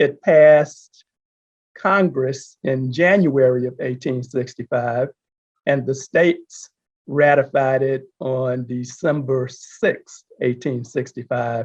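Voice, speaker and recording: With an American accent, a man of medium pitch speaks at a very slow pace with fairly even intonation. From Texas, Houston. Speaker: panel guest. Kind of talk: panel discussion.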